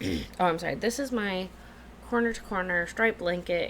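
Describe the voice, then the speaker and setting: A woman's fairly low-pitched voice with vocal fry, at a moderate pace. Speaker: knitting podcaster. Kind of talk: casual talk to camera.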